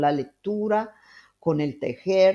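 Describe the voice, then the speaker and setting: The woman's voice has a dark, mellow tone and ordinary pitch variation. The background is quiet. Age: 60s. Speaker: family caregiver and podcaster. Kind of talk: casual advice monologue. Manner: halting, many fillers.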